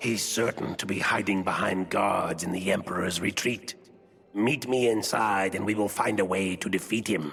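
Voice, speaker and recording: A man puts on a character voice, fairly low in pitch. He keeps a moderate pace as faint music plays in the background. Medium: machinima. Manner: solemn, measured.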